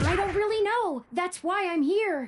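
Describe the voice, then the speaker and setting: At a moderate pace, the put-on character voice stays at an extremely high pitch. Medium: video game. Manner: formal, precise, polite.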